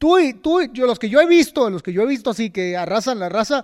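A man with a Mexican accent talks at a high pitch, his voice making very wide pitch swings. The recording is very clean, with a silent background. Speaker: boxing podcast host. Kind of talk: casual interview chat. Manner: halting, many repetitions.

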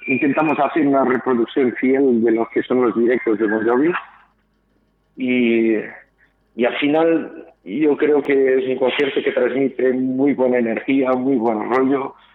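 A man speaks at a fairly slow pace in a plain, everyday voice, his medium pitch held at very even loudness with fairly even intonation. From Portugal. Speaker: tribute band musician. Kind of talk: radio interview.

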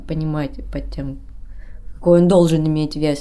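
This woman's voice has a fairly low pitch and a dark, mellow tone. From Kudymkar, Perm region. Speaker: actress. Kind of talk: casual chat. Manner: animated, halting with fillers.

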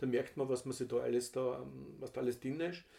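The man's tone is dark and mellow, at a medium pitch. He talks at a fairly quick pace. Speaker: podcast co-host, father of the other host. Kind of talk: casual chat.

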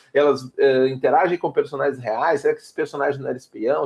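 The man rattles along very fast, with ordinary variation in his pitch. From southern Brazil, Porto Alegre. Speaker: RPG game designer. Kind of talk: casual chat.

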